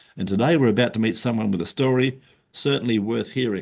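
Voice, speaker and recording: This man speaks at a medium pitch with vocal fry. His intonation is lively. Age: 70s. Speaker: podcast host and marketing consultant. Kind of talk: podcast interview. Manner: casual, chatty with filler words.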